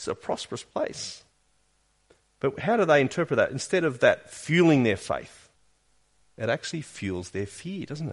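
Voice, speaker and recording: A man with an Australian accent speaks at a fairly high pitch with vocal fry and very wide pitch swings. His moderate pace is broken by long, frequent pauses against a quiet background. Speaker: pastor. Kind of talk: sermon. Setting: church.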